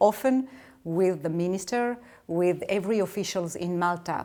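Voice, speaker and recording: Dark and mellow in tone, a woman of medium pitch speaks with a French accent at a moderate pace and ordinary pitch variation. The recording is very clean, with a silent background. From France. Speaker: ambassador. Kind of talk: interview. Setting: official residence. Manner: halting.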